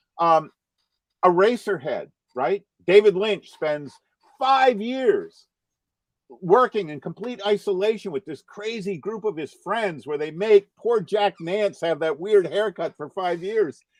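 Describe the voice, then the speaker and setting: An animated, high-pitched man's voice with an American accent, at a fairly slow pace with big swings in loudness. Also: ordinary pitch variation. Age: 60s. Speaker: cartoonist. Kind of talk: casual chat.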